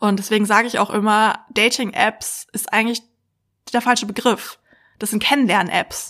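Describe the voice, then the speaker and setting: A woman speaks in a flat monotone at a fairly high pitch, her tone bright and sharp. Her pace is moderate, and the recording is very clean with a silent background. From Berlin, Germany. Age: 30s. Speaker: psychologist and dating expert. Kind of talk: casual interview chat.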